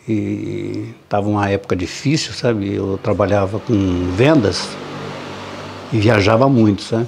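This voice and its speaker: A man talks at a very slow pace. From Brazil, northern Paraná (Cornélio Procópio). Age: 70s. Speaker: retired railway worker. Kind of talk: interview. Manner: halting, with repetitions.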